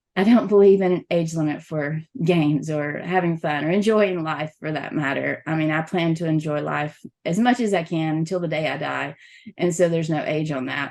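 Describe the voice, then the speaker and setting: A woman with a Southern US accent, a very deep, low pitch, ordinary pitch variation, and a moderate pace. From US South. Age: middle-aged. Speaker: XR event programmer and journalist. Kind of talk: podcast interview.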